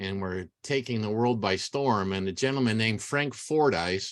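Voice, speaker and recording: Dry and close with no echo, a man speaks at a fairly slow pace with lively intonation and medium pitch. It is a normal speaking voice. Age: 60s. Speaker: orchid grower and speaker. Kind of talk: lecture. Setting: video call.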